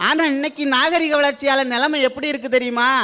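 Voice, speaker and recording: Noticeable background noise beneath a man's raised, projected voice. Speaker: radio jockey and debate speaker. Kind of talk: comic stage debate speech. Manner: energetic.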